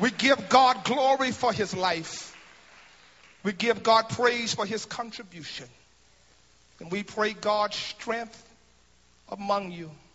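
A high-pitched man's very slow speech, with long, frequent pauses and ordinary pitch variation. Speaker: pastor. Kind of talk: eulogy at a memorial service, preached like a sermon. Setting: memorial service before a congregation. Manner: rhythmic preacher cadence with refrains like thank you for the interest; repeats words in bursts as he builds momentum. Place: church. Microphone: handheld.

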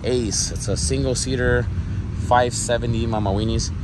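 A man's voice comes through dry with no echo, with noticeable background noise. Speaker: vlogger on a road trip. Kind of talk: casual vlog chat. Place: street. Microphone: phone near.

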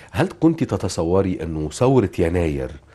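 A man with an Egyptian accent has a very deep, low voice that is somewhat breathy, with a dark, mellow tone. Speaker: TV talk show host. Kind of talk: interview.

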